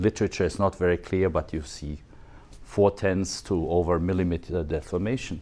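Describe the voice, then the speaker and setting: A man with a non-native accent speaks in a very deep, low voice with ordinary pitch variation. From Switzerland. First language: not English. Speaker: photogrammetry expert, dental technology speaker. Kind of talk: conference talk. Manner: animated.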